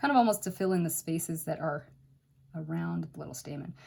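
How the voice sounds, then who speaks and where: The tone is dark and mellow, somewhat breathy, and the pace is very fast. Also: woman. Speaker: watercolor art teacher. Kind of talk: tutorial. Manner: casual, chatty.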